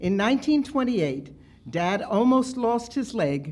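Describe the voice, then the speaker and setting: The somewhat breathy voice swings very widely in pitch. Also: woman. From United States. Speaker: memoir writer. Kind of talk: reading aloud. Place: classroom. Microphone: handheld.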